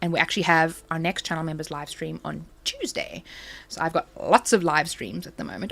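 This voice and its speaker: A woman's animated voice in a South African accent at a moderate pace. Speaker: crafting YouTuber. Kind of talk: casual live stream chat.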